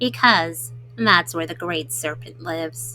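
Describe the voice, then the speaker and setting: Clear music plays in the background of a put-on character voice. It sits at a low-to-middle pitch and moves at a fairly slow pace. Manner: hushed, fearful, warning.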